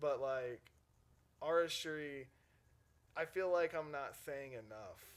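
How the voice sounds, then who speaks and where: An American accent colors this voice. It belongs to a man. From South Carolina, Myrtle Beach. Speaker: music producer and DJ. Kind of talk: podcast interview. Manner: casual, halting with many fillers.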